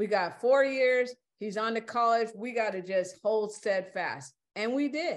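Against a quiet background, a woman with an American accent talks at a moderate pace in a fairly high pitch, with an unremarkable speaking voice. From California. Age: 60s. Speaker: interview guest, half of a married couple. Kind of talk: casual chat.

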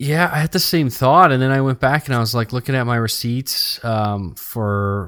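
Here a man speaks at medium pitch and a moderate pace, in an unremarkable speaking voice. The sound is dry and close, with no echo. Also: very clean recording, silent background. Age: 30s. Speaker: gaming podcast host. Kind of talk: casual chat.

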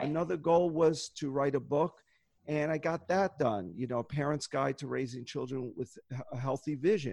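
In an unremarkable speaking voice, a man of fairly high pitch speaks at a moderate pace with ordinary pitch variation in a dry, close sound with no echo. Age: 60s. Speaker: optometrist and goal-setting workshop leader. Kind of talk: interview conversation.

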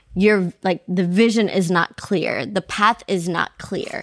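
At a fairly slow pace, the speech comes through a very clean recording with a silent background and a dry, close sound with no echo. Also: woman. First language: not English. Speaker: podcast co-host. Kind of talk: casual chat. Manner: animated.

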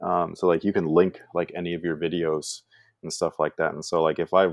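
A man with a Californian accent, very deep and low in pitch, at a fairly quick pace. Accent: Californian American English. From US West Coast, San Francisco Bay Area. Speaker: YouTuber, sneaker reviewer. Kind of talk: casual interview chat.

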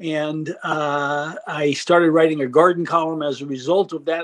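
This man speaks with an American accent and a high pitch. The sound is dry and close, without echo. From New York suburbs (Westchester County). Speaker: gardening columnist and congressional candidate. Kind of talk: interview.

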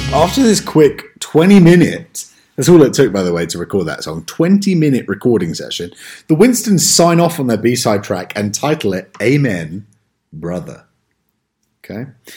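A man with a dark, mellow tone and vocal fry speaks at a moderate pace, showing very wide pitch swings and big swings in loudness. The recording is very clean, with a silent background. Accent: American. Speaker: podcast host. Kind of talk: casual chat.

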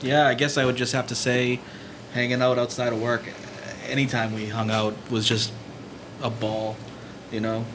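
With an American accent, a man of medium pitch talks at a moderate pace in a monotone, flat way, leaving long, frequent pauses amid noticeable background noise. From Peabody, Massachusetts. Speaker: former video store assistant manager. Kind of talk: live podcast panel chat. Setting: stage with audience.

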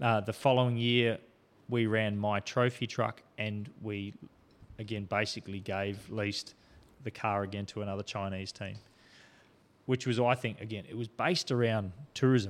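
Fairly low-pitched, a man with an Australian accent speaks at a moderate pace and fairly even intonation. Long, frequent pauses break up his speech on a very clean recording with a silent background. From South Australia, Port Augusta. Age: 50s. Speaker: off-road racer and police officer. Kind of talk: casual interview chat. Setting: studio.

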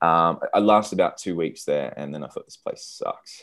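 On a very clean recording with a silent background, a man with an Australian accent speaks at a very fast pace. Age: 30s. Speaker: entrepreneur. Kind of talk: casual interview. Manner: halting, many repeated words.

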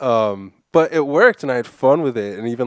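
Recorded very cleanly against a silent background, with a dry, close sound and no echo, a man with an American accent speaks at a moderate pace in an ordinary speaking voice. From Massachusetts (Framingham). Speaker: skateboarder and screen printer. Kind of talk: casual chat.

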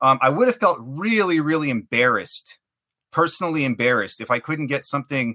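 At a fairly quick pace, a man with an American accent speaks in a bright, sharp tone. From South Texas, McAllen. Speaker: writer. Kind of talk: interview.

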